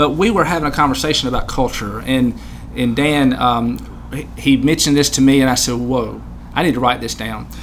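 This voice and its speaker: Talking at a fairly quick pace, a man is heard. Noticeable background noise runs behind him. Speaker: podcast host and small business owner. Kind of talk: interview conversation. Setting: studio.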